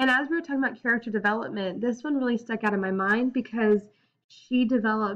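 This is plain reading aloud. The background is quiet.

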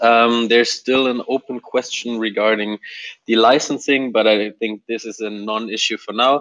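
A man's monotone, flat delivery against a quiet background. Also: moderate pace. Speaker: software developer. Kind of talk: team meeting update. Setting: video call. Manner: hesitant, many fillers. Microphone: video call.

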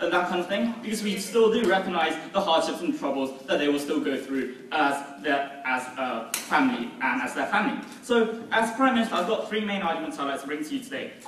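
Amid light background noise and audible room echo, a man talks at a fairly quick pace with hardly any pauses. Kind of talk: competitive debate speech. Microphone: camera far.

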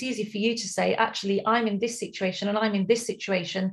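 A woman talks with a fairly high pitch. Her voice is somewhat breathy. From England, Leicester; England. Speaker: women's empowerment coach. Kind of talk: motivational webinar. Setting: video call webinar. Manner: energetic, animated.

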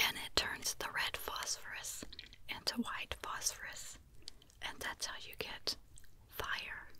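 A woman whispers at a very slow pace. Her loudness swings a lot. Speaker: ASMR creator. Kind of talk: soft-spoken ASMR chat and storytelling. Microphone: studio mic.

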